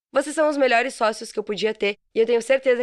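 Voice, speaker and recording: Pitched fairly high, a woman rattles along at a very fast pace with ordinary pitch variation, recorded with a dry, close sound and no echo. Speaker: podcast host, mentor and copywriter. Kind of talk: solo podcast monologue.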